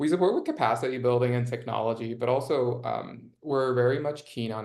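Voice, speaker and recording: At a fairly quick pace, a man speaks. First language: not English. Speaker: nonprofit impact strategist. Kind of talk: interview conversation. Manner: many filler words.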